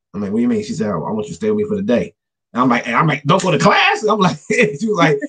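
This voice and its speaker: This man talks at a very fast pace with a high pitch. His pitch swings very widely. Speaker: author. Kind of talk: casual chat. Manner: halting.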